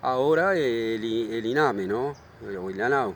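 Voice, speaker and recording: A man talks with lively intonation. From Uruguay, Montevideo. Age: 70s. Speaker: local resident. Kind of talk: interview. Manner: halting.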